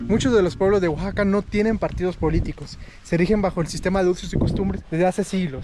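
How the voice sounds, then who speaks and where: Very fast speech at a very even loudness sits against noticeable background noise. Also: man, high pitch for a man, fairly even intonation. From Mexico. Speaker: travel vlogger. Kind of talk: travel vlog.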